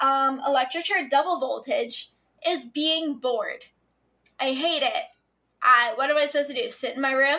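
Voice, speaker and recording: A high-pitched woman uses a raised, projected voice with a bright, sharp tone. She leaves long, frequent pauses. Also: ordinary pitch variation, moderate pace. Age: 20s. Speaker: podcast co-host. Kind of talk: casual chat.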